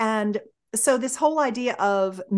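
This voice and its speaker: The intonation is lively. The background is quiet. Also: woman. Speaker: sex and intimacy educator; intimacy educator. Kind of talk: interview. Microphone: video call.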